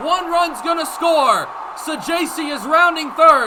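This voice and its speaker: A man speaks in a raised, projected voice. Noticeable background noise runs underneath. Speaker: baseball radio play-by-play announcer. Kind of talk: baseball radio play-by-play call.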